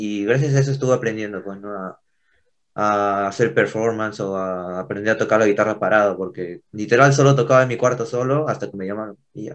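A man with a plain, everyday voice talks at a fairly quick pace and fairly low pitch, with ordinary pitch variation and big swings in loudness over a quiet background. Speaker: punk band guitarist. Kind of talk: casual interview.

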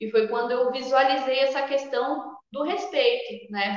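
Pitch variation in this voice is ordinary. The speaker is a woman. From Brazil, Sorocaba (São Paulo state). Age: 20s. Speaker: shamanic spiritual leader. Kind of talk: interview conversation.

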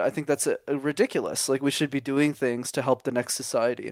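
In a dry, close sound with no echo, a man talks very fast on a very clean recording with a silent background. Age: 20s. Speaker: communication coach and YouTuber. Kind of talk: casual chat.

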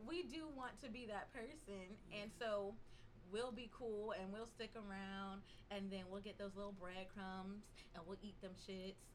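Against noticeable background noise, a woman with an American accent speaks fairly slowly at medium pitch with ordinary pitch variation. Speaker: podcast guest, podcaster. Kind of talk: casual chat.

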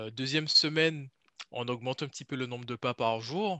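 Bright and sharp in tone, a man speaks at a moderate pace with ordinary pitch variation, the sound dry and close with no echo against a quiet background. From French Antilles. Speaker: personal trainer. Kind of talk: casual interview.

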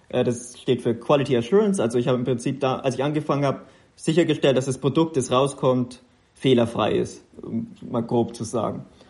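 The voice has vocal fry and moves at a fairly quick pace. Its pitch varies in an ordinary way. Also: man, medium pitch for a man. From Upper Franconia, Kulmbach. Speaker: mobile games product lead. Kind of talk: interview.

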